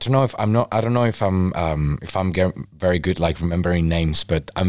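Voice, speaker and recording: A man with a very deep, low voice and a Spanish accent, fairly quick pace and ordinary pitch variation. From Mexico, Baja California. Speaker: photographer. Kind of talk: casual interview chat. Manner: animated.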